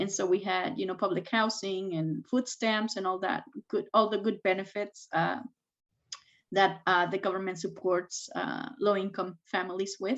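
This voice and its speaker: The speaker has a Spanish accent and a moderate pace. Intonation is fairly even, and the background is quiet. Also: woman, medium pitch for a woman. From Mexico, moved to US at 13 (Texas, Washington). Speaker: tech executive and STEM advocate. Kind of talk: interview. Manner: hesitant, many fillers.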